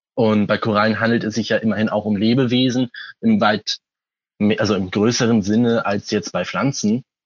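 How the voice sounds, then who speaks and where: Here a man speaks at a medium pitch and moderate pace. His loudness stays very even and his intonation monotone and flat. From Hamburg, northern Germany. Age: 20s. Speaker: aquarium hobbyist. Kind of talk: interview. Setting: phone call.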